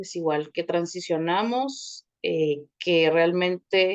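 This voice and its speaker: A woman's medium-pitched voice with a Guatemalan accent, dry and close with no echo. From Guatemala City. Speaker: communicator, thanatology course participant. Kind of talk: personal introduction in online class.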